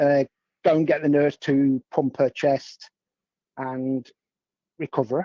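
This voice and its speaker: A man with an English accent speaks at a fairly slow pace, with long, frequent pauses, in a monotone, flat intonation. His pitch is fairly high, his tone dark and mellow, and the sound is dry and close with no echo. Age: 60s. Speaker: guest. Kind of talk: casual chat. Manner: halting.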